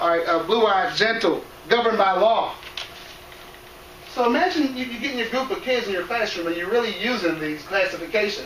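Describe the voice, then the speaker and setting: Over noticeable background noise and audible room echo, a man speaks fairly quickly in a high pitch with lively intonation. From Cameroon, raised in US from age five. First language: non-English. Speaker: educator, presenter on cultural awareness. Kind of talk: presentation to school staff. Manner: conversational, addresses audience directly.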